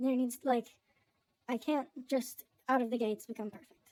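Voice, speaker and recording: At a moderate tempo, a woman with a fairly high voice keeps her intonation fairly level. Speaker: vtuber. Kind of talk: vlog monologue. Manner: casual, filler-heavy.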